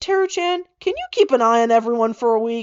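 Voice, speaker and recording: A woman puts on a character voice at a high pitch. She talks at a fairly quick pace. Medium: read story. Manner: blunt, unimpressed.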